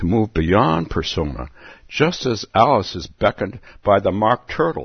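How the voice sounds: The speaker reads in a natural reading voice, with lively intonation.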